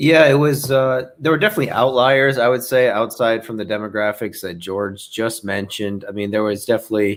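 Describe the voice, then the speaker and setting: Hardly pausing, a man talks at a fairly quick pace and medium pitch. His pitch variation is ordinary, on a very clean recording with a silent background. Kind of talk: casual chat. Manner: halting.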